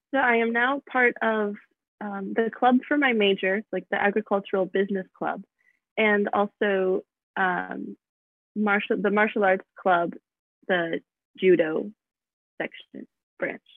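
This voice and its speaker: A woman at a medium pitch with ordinary pitch variation, speaking at a very slow pace with long, frequent pauses. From US Midwest, Michigan. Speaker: college student. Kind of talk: interview. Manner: hesitant, many fillers.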